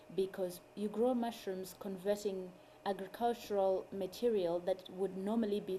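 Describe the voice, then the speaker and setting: The speaker has a Zimbabwean accent and a monotone, flat intonation. The pace is moderate. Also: woman. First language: Shona. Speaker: mushroom farmer and food activist. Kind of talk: interview.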